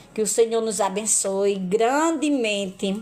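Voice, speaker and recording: A woman talks at a very slow pace. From Brazil, Paraíba (Northeast). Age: 50s. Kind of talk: religious testimony live stream. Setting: live stream.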